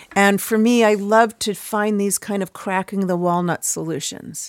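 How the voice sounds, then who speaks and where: With an American accent, a woman uses a normal speaking voice at a medium pitch, fairly slow pace and fairly even intonation, in a dry, close sound with no echo on a very clean recording with a silent background. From US Midwest (Chicago). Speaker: cosmology professor and author. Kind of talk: interview.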